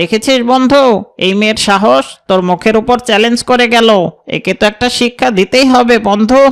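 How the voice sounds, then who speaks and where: A man uses a cartoonish character voice, high-pitched with ordinary pitch variation. He keeps a moderate pace and very even loudness. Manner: smooth, wheedling.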